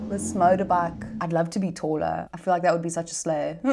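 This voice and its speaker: Vocal fry runs through this voice, heard with a South African accent. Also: woman. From South Africa, Gauteng. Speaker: content creator. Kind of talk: casual Q&A vlog. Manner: animated.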